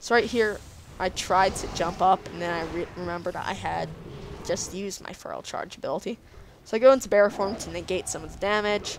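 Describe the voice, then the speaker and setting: Against noticeable background noise, a woman talks at a fairly quick pace with big swings in loudness. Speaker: gaming commentator. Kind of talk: gameplay commentary. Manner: stuttering; animated.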